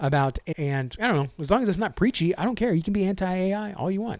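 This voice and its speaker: Over a silent background in a very clean recording, a man speaks very fast in an animated tone, his pitch swinging very widely. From Texas. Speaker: comic book YouTuber. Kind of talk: casual haul video monologue.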